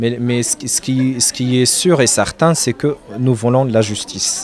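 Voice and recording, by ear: A man's medium-pitched, slightly mellow voice at a moderate pace, with ordinary pitch variation and faint background noise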